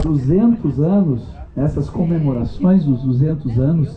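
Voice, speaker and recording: A man's fairly high voice moves along at a very slow pace. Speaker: book author, genealogist. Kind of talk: speech at inauguration ceremony.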